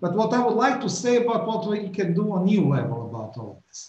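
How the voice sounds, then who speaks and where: A man speaks with audible room echo around him. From Croatia. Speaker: politician. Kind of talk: welcome address. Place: office. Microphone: webcam.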